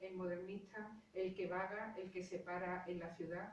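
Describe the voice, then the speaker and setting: With an Andalusian accent, a woman speaks at a medium pitch in a monotone, flat intonation, with audible room echo. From Andalusia, Spain. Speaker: literature professor. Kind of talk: lecture.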